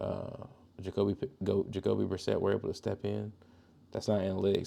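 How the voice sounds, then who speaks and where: A man with an American accent speaks quietly. His pace is fairly quick. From Georgia, US South. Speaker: podcast host. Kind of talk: casual monologue. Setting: at home, son sleeping next room. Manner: quiet, kept low.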